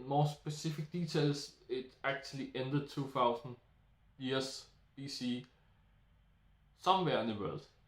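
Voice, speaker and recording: A man's fairly high voice with a Danish accent. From Denmark. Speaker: YouTuber. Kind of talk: solo monologue. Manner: halting.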